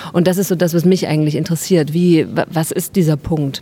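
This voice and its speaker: A woman with a fairly low pitch, fairly quick pace and fairly even intonation, with noticeable background noise. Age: 30s. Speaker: actress and artist. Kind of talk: interview. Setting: outdoors, market square.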